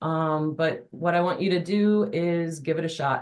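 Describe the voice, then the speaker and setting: In a plain, everyday voice, a woman speaks at a fairly low pitch with fairly even intonation. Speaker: adult education instructor and webinar presenter. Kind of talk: webinar presentation.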